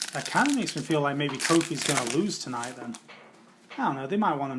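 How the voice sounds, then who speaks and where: A man's fairly high voice in an English accent, very fast, with ordinary pitch variation and noticeable background noise. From England. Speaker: trading card case breaker, streamer. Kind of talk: casual live stream chat.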